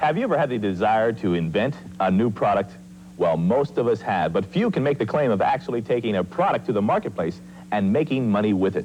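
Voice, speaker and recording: A man's fairly low voice with vocal fry, lively intonation, very even loudness and a very fast pace. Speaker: TV program host. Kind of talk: TV infomercial host read.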